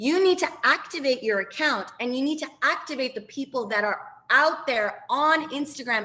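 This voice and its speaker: Using a raised, projected voice, a woman speaks with high pitch and lively intonation. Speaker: branding and social media coach. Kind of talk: training webinar. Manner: fast; animated.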